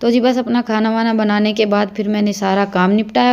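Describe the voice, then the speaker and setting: Noticeable background noise sits behind a woman speaking at medium pitch. She keeps a moderate pace with fairly even intonation. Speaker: village vlogger. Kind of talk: vlog narration.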